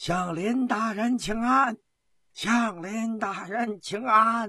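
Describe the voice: A man puts on a character voice, high in pitch for a man, with a bright, sharp tone and a slightly husky edge. He speaks at a slow pace with ordinary pitch variation.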